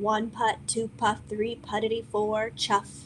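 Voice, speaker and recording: A woman does a put-on character voice in a monotone, flat intonation at a fairly slow pace. Clear background noise can be heard. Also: fairly high pitch for a woman. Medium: read story. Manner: rhythmic.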